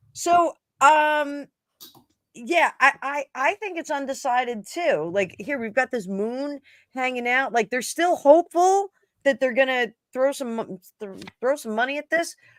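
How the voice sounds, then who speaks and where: Lively intonation and big swings in loudness at a fairly slow pace, with a slight New Jersey accent, in a very clean recording with a silent background. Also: woman, high pitch for a woman. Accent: New Jersey accent, mild. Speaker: tarot reader. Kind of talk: casual chat.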